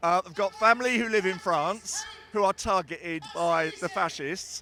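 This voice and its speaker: A raised, projected voice at a moderate pace, with music in the background. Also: man. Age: 60s. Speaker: protester. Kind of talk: street interview. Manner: impassioned.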